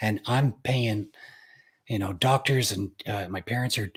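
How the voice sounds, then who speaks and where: A man with an American accent speaks at a moderate pace and medium pitch, somewhat breathy, with ordinary pitch variation. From Utah. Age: 40s. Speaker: pianist. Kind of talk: interview.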